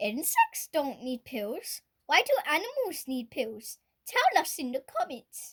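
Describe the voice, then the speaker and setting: In a put-on character voice, a woman speaks at a fairly slow pace and a high pitch, with very wide pitch swings. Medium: read story.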